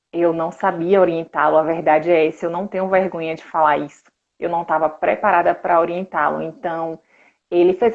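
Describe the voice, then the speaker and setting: In a Bahian accent, a woman with a fairly low pitch speaks with fairly even intonation. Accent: Bahian Brazilian Portuguese. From Brazil, interior of Bahia (Conceição do Coité). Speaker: sports nutritionist. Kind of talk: live stream interview.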